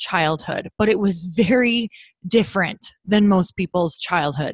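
This woman has an American accent, a medium pitch, and a somewhat breathy, animated delivery with ordinary pitch variation. The sound is dry and close, with no echo. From Upper Michigan, US Midwest. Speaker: author and podcast host. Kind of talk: casual interview chat.

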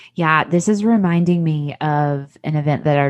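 A woman with an American accent, very deep and low in pitch, at a moderate pace against a quiet background. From US South, Tennessee. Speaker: podcast host.

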